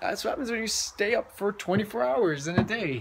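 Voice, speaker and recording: A man speaks over noticeable background noise. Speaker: vlogger. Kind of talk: casual vlog chat. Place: home room. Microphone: phone near.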